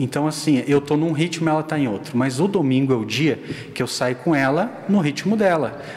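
Noticeable background noise behind a man's fairly high voice, fairly quick, with ordinary pitch variation. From Rio Grande do Sul, southern Brazil. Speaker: church internal auditor. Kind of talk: casual chat.

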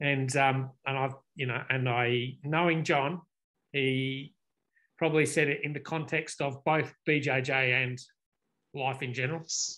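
A man's fairly high, bright and sharp voice in a flat monotone at a fairly slow pace. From UK. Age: 50s. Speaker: podcast host. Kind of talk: casual chat.

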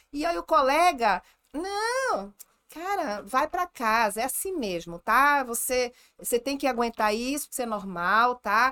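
A woman speaks fairly slowly in a bright, sharp, animated tone with very wide pitch swings. The sound is dry and close, with no echo. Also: very clean recording, silent background. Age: 40s. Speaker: gynecologist. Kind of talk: casual chat.

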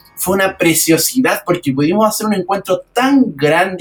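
A man's high-pitched voice with lively intonation. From Chile, Valparaíso region. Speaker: accordion festival organizer and musician. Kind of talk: radio interview.

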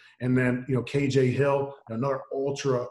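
A man speaks at a medium pitch with a somewhat breathy voice. His intonation is monotone and flat. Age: 40s. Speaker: football coach. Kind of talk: interview.

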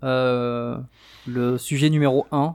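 On a very clean recording with a silent background, a man talks in a medium pitch. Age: 30s. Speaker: podcast co-host, dating coach. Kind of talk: casual chat. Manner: animated.

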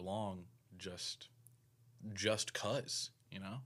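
A man's fairly low-pitched voice, bright and sharp in tone, with fairly even intonation, on a very clean recording with a silent background. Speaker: podcast host. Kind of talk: casual chat.

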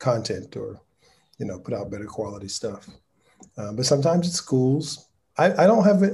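A man speaks at a moderate pace with a somewhat breathy, dark, mellow tone. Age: 50s. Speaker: lighting director and nonprofit founder. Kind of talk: casual interview.

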